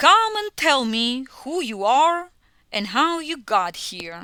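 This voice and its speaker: Putting on a character voice, a woman speaks at a very slow pace and a high pitch, with very wide pitch swings and big swings in loudness. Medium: read story.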